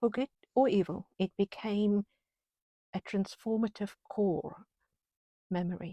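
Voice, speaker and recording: In a non-native accent, a woman speaks at a fairly slow pace with long, frequent pauses, a medium pitch, fairly even intonation and a dark, mellow tone, the sound dry and close with no echo. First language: not English. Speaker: channel host. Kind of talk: reflective musing with poetry reading.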